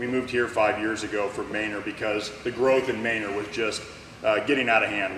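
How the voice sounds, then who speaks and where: In a room with audible echo and noticeable background noise, a man talks fairly quickly at a medium pitch with fairly even intonation. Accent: American. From Arizona. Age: 40s. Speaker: school board candidate. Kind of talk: candidate forum speech. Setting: public forum with audience.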